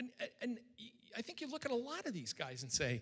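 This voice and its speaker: A man speaks in a raised, projected voice with an American accent, his bright, sharp tone swinging very widely in pitch at a moderate pace. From Western Massachusetts. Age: 60s. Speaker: political scientist and author. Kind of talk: Q&A after a public lecture.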